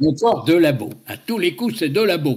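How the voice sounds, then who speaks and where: A man puts on a gruff character voice, pitched fairly high, with very wide swings in pitch. He talks at a moderate pace. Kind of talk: irritated, accusing.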